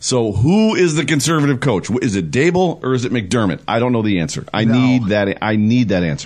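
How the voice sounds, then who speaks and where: Fairly quick speech from a man with an American accent, very wide pitch swings, very even loudness and hardly any pauses. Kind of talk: casual sports talk. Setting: studio.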